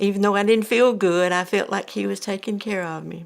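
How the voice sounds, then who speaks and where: This woman has a medium pitch and speaks with an Alabama accent. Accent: Southern US (Alabama). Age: 70s. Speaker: cancer patient. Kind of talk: testimony. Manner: halting.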